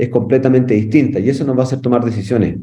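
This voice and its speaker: A man with a Chilean accent speaks in a dark, mellow tone at medium pitch, with audible room echo around him. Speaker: firefighter instructor. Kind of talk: lecture. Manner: halting, many fillers.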